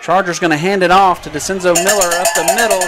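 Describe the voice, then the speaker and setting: A man with an American accent talks at a fairly quick pace and a high pitch. Audible room echo and noticeable background noise fill the recording. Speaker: play-by-play announcer. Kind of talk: live commentary. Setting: press box above stadium crowd. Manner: loud, yelling.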